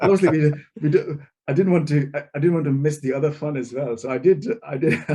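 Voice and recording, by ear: Here a man talks at a fairly quick pace with fairly high pitch. His tone is dark and mellow, with fairly even intonation.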